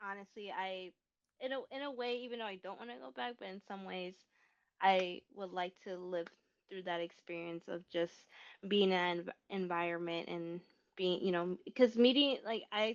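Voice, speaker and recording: A woman with an American accent speaks in a plain, everyday voice at a medium pitch and a moderate pace. Her loudness swings widely while her pitch varies in an ordinary way. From US Midwest, Rockford, Illinois. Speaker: filmmaker. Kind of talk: casual interview chat. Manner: casual, filler-heavy.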